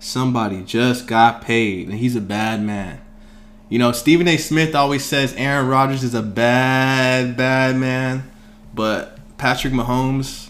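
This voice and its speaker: At a fairly slow pace, a man with a medium pitch and a normal speaking voice talks with fairly even intonation. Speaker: sports podcast host. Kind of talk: casual chat.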